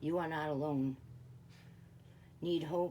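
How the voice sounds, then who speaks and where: A woman speaks very slowly in a dark, mellow tone. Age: 60s. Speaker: mental health peer sharing her story. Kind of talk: personal testimony.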